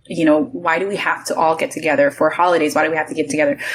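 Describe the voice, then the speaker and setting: A woman with an American accent speaks in a very deep, low pitch. Her intonation is lively over noticeable background noise. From US South, New Orleans. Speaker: podcast guest, lifestyle content creator. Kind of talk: casual chat.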